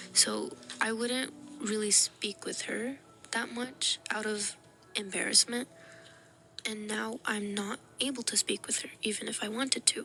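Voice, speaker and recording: Against music in the background, a woman speaks at a fairly slow pace in a fairly high voice, with fairly even intonation and long, frequent pauses. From US, Pakistani-American family. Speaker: YouTuber. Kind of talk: casual vlog monologue.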